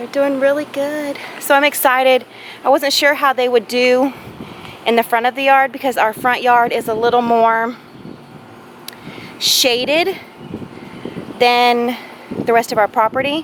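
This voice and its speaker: A woman with a Southern US accent speaks at a fairly slow pace, her pitch high and her intonation fairly even. Long pauses come often, and background noise is noticeable. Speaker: home gardener vlogger. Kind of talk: casual garden tour vlog. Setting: outdoors in yard.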